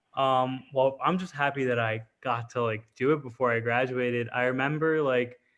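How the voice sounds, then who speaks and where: A man with an ordinary speaking voice talks at a moderate pace in a medium pitch. His intonation stays fairly even. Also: hardly any pauses. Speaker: college student contestant on a reality game. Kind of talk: casual chat.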